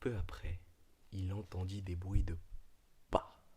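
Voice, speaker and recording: The voice is soft-spoken with a soothing tone. The recording is very clean, with a silent background. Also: man. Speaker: ASMR creator. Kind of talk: ASMR reading aloud; casual talk to camera. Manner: soft, soothing, quiet; louder than a whisper.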